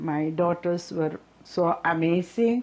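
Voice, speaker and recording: Speaking at a very slow pace, a woman with a fairly low voice talks with an Indian accent. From India, Kerala (Malayali). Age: 60s. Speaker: nurse. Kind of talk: testimony.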